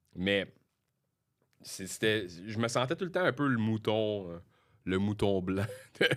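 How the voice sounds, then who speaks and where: A man with a Quebec accent talks at a very slow pace, pitched fairly low. He leaves long, frequent pauses. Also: ordinary pitch variation. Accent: Québécois French. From Quebec, Sorel. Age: 30s. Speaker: comedian. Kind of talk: casual chat. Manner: halting.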